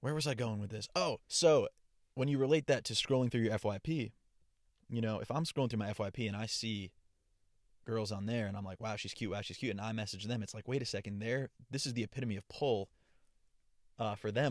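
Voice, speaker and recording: The sound is dry and close with no echo as a man speaks very fast at a medium pitch. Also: very clean recording, silent background. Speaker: podcaster and TikTok creator. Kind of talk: casual solo podcast monologue. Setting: home or travel mic, testing a USB microphone. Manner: casual, chatty, conversational.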